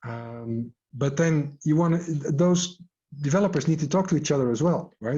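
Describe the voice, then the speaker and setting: Moderately paced, the speech has a somewhat breathy quality. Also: man. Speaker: agile coach and scrum trainer. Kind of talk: online workshop.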